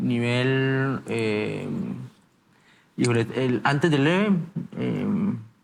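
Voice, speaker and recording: A man talks at a very slow pace with lively intonation. Long pauses come often. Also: medium pitch for a man. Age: 20s. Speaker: hearing aid user sharing his story. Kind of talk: interview. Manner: halting, many fillers and repetitions.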